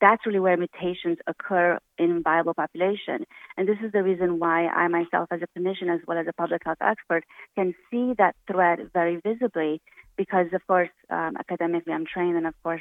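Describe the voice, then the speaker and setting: Delivered in a Romanian accent, the speech moves at a fairly quick pace with fairly even intonation. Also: woman. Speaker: physician. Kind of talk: radio interview.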